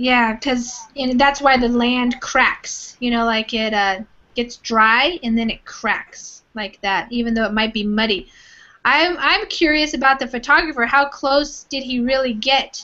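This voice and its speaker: This woman has a high pitch and ordinary pitch variation, talking at a fairly slow pace. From California. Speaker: online English teacher. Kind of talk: online language class. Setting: live video class.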